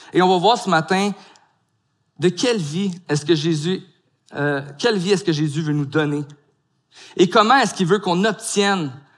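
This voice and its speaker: Pausing long and often, a man talks at a moderate pace in a high pitch with ordinary pitch variation. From Quebec (Gatineau). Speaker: pastor. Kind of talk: sermon.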